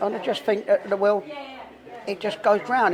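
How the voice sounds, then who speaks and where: A man speaks in a Cockney accent with ordinary pitch variation. Noticeable background noise runs underneath. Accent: London Cockney. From London. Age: 70s. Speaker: former armed robber. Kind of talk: casual interview. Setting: in a pub.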